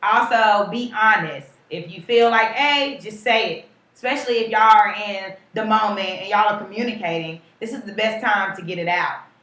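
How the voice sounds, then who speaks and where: Audible room echo surrounds a woman with a fairly high pitch who speaks at a moderate pace, her loudness swinging widely and her pitch varying in an ordinary way. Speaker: podcast co-host. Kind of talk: casual chat.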